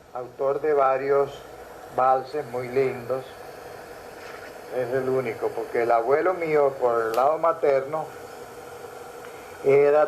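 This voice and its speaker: With noticeable background noise, a man speaks at a very slow pace, leaving long, frequent pauses. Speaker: musician and folklore researcher. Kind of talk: interview answer.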